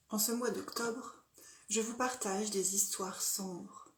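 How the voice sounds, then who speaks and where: Speaking at a fairly slow pace, a woman keeps a fairly high pitch and fairly even intonation. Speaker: storyteller. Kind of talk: dark fairy tale storytelling, narrated horror story.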